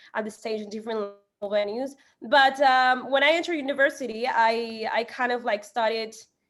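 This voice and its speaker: A woman with a Spanish accent, fairly high in pitch with ordinary pitch variation. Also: moderate pace. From Ecuador, Guayaquil. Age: 20s. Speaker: singer and marketer. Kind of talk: interview. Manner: halting.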